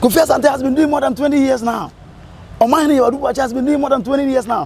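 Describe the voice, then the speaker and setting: Over noticeable background noise, a man talks loudly at a very fast pace with a Ghanaian accent. His extremely high voice keeps fairly even intonation. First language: Twi. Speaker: radio presenter. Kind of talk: casual chat. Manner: halting.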